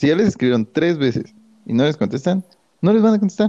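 The voice has a dark, mellow tone. Its pitch swings very widely. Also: man, dry, close sound with no echo. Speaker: podcast co-host. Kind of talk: casual chat.

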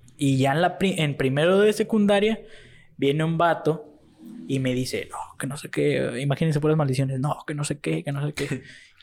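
Here a man with an ordinary speaking voice and a fairly high pitch talks at a moderate pace with ordinary pitch variation. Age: young. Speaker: guest friend. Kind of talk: casual chat.

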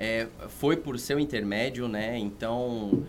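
Music plays behind a man whose voice sits at a medium pitch. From São Paulo metro area (São Bernardo do Campo). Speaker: veterinary surgeon and course coordinator. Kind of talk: casual podcast interview.

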